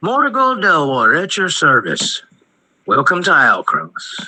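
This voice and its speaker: At a moderate pace, a man uses a gruff, put-on character voice. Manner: jovial, joking.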